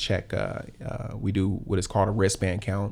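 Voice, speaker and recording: Here a man speaks with an American accent and vocal fry. His pitch is fairly low and his pace moderate. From South Los Angeles. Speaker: company founder and public speaker. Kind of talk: casual chat.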